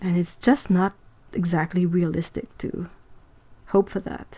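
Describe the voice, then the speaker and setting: At a fairly slow pace, a woman with a non-native accent speaks in a dark, mellow tone with fairly even intonation. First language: French. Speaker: artist and YouTuber. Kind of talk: casual livestream chat. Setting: livestream. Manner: halting.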